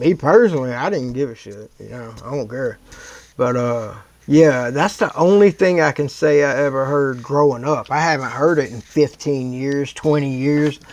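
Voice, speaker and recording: A plain, everyday voice from a man with an American accent, fairly high in pitch, with ordinary pitch variation and a moderate pace. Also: big swings in loudness. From US East Coast. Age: 40s. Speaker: YouTube reaction host. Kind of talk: casual reaction commentary.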